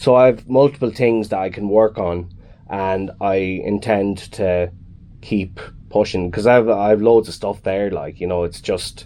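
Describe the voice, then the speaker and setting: A man with a Kilkenny accent, a very deep, low pitch and a dark, mellow tone, at a moderate pace with ordinary pitch variation. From Ireland, Kilkenny. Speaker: musician. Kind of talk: radio interview.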